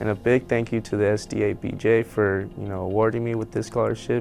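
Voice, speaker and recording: A man's fairly low voice with an American accent, fairly quick and fairly even in intonation, with music in the background. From Southern California. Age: 20s. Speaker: journalism scholarship recipient, college student. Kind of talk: personal testimony.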